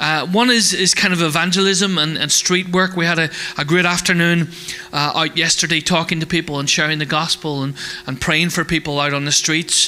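A man's high-pitched voice at a fairly quick pace, fairly even intonation, noticeable background noise. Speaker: church host. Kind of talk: casual announcements. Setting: church.

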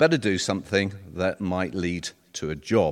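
A man with a very deep, low pitch speaks in a southern English accent. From North London, England. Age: 60s. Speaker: retired solicitor. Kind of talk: personal testimony talk. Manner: halting.

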